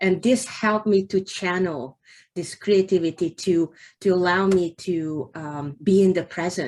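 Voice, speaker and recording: A woman with a Hungarian accent speaks at a medium pitch and a fairly slow pace, with ordinary pitch variation, in a very clean recording with a silent background. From Hungary. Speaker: novelist. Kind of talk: interview. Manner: halting.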